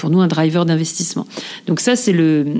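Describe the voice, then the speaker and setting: A fairly low-pitched female voice over noticeable background noise. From eastern France (Moselle/Alsace area). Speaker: corporate sustainability director. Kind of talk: interview. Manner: hesitant, many fillers and repetitions.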